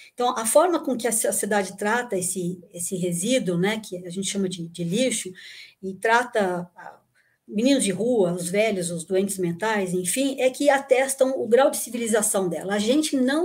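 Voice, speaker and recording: A woman speaks with lively intonation and a somewhat breathy quality. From São Paulo, Brazil (born in Rio Grande do Sul, moved at nine). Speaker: engineer and recycling expert, former lecturer. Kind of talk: casual chat.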